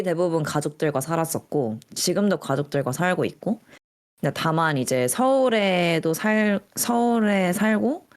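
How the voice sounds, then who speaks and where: At a very slow pace, a woman speaks with very wide pitch swings on a very clean recording with a silent background. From Seoul, South Korea. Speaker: podcast co-host. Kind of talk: casual chat.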